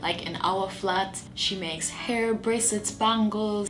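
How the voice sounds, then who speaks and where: With noticeable background noise around her, a woman delivers her words at a fairly slow pace. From Jamaica. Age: 20s. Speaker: YouTuber, motivational speaker. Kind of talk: casual talk to camera.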